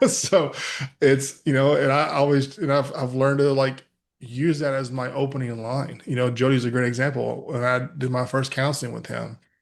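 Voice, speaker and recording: A man with a West Texas accent, medium pitch and a fairly quick pace. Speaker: mental health speaker. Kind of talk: podcast interview.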